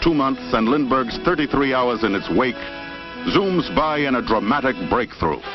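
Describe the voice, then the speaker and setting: Over music in the background, a man with a medium pitch talks at a moderate pace with lively intonation. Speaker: film narrator. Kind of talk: vintage promotional film narration.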